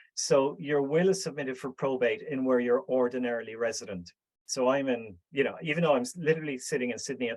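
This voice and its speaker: An Irish accent at a fairly quick pace. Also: man. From Ireland. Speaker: speaker at a business networking group. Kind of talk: Q&A answer in online meeting.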